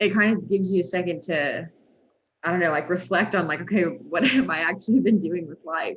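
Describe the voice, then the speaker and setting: A woman with an American accent has a plain, everyday voice at a fairly low pitch. She talks at a fairly quick pace with ordinary pitch variation. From Texas. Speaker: sports anchor. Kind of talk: casual interview. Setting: call.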